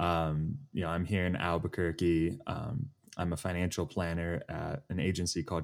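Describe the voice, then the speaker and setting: In a very clean recording with a silent background, a man speaks at a moderate pace in a very deep, low pitch. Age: 20s. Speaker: financial planner. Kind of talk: casual chat. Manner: sounds mature for his age.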